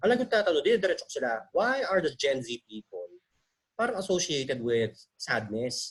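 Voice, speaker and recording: A man talks in a high pitch with very wide pitch swings. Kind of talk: casual talk on video call. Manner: talkative, chatty; conyo Taglish, changing styles.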